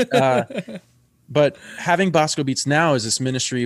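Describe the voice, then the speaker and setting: The speaker is a man with an American accent and a medium pitch. He has a plain, everyday voice. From Bronx, New York. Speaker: musician. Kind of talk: casual chat.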